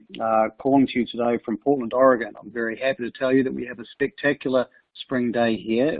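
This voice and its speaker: Here, a man with a New Zealand accent talks at a moderate pace. His medium-pitched voice has flat, monotone intonation. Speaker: company co-founder and CEO. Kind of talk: webinar panel discussion.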